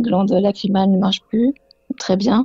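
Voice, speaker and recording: A woman's voice at medium pitch. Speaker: caller living with Parkinson's disease. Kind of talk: radio call-in testimony. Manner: halting, many hesitations.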